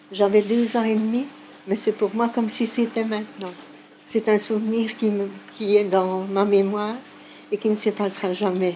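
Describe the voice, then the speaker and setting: Her pitch sits fairly high and her intonation is monotone and flat. The woman speaks at a moderate pace with long, frequent pauses. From Sicily, moved to Belgium aged 2. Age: 60s. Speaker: elderly migration witness. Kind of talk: testimony. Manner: hesitant, with fillers.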